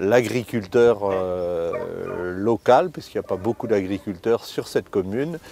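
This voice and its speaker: Very slow and dark, mellow in tone, a man's voice comes through. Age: 60s. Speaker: rabbit hunter, hunting club vice-president. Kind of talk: interview in a hunting documentary. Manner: hesitant, many fillers and repetitions.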